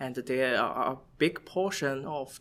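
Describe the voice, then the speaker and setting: In a very clean recording with a silent background, a man with a Chinese accent speaks at a fairly high pitch. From China. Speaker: environmental chemist. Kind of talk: interview. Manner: halting.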